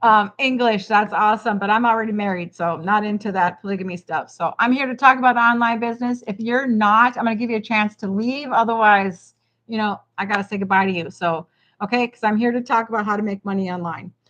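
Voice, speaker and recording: A woman's fairly high voice, very fast and fairly even in intonation, over a quiet background. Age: 50s. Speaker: online business coach. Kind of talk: livestream talk. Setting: home kitchen livestream. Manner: casual, hesitant with many fillers.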